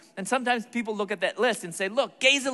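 This man's voice is raised and projected. Its tone is bright and sharp. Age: 40s. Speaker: Bible teacher and speaker. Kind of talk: sermon.

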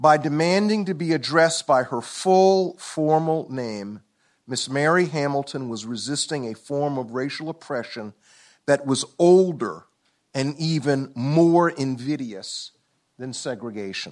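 In a very clean recording with a silent background, a man with an American accent uses a normal speaking voice at a fairly high pitch and fairly slow pace. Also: lively intonation. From US South, Columbia, South Carolina. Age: 60s. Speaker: law professor. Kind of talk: lecture. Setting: stage with audience.

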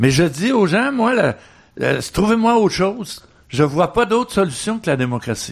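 Against a quiet background, a man with a high pitch speaks at a fairly slow pace, with long, frequent pauses. His pitch swings very widely while his loudness stays very even. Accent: Quebec. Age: 80s+. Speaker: activist and author. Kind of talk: radio interview. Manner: halting, many repetitions and fillers.

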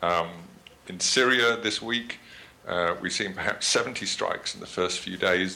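A man with a British accent speaks in a bright, sharp tone. His pace is moderate and his pitch varies in an ordinary way. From Britain. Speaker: journalist and author on drones. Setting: video call.

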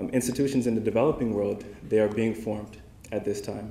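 Very fast and fairly low-pitched, a man speaks with vocal fry and a dark, mellow tone. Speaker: young alumni award recipient, humanitarian aid worker. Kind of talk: acceptance speech. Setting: dinner event with audience.

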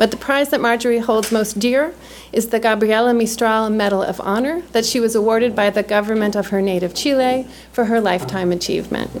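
A woman has a plain, everyday voice at a fairly high pitch, with ordinary pitch variation and very even loudness. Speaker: event host. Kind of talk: formal introduction. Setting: stage with audience.

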